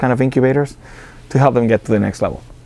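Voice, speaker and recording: A man speaks with an Argentine accent and fairly even intonation. Noticeable background noise runs behind him. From Argentina. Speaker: business accelerator director. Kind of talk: interview. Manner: halting, many fillers and repetitions.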